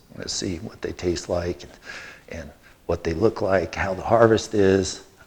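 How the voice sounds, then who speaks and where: Speaking at a moderate pace, a man uses a very deep, low pitch with fairly even intonation. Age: 60s. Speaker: biochar company owner giving a gardening talk. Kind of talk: lecture. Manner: casual, conversational.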